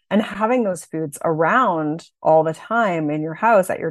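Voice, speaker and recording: A woman has an unremarkable speaking voice, fairly low in pitch with ordinary variation. She talks at a fairly slow pace against a quiet background. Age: 40s. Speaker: body image coach. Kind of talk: interview. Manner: casual, many fillers.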